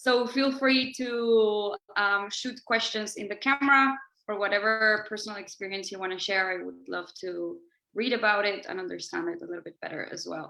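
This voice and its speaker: A woman speaks at a moderate pace in a Spanish accent. Her medium pitch has ordinary variation, and her loudness swings widely. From Mexico. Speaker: banker. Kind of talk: presentation. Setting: video call.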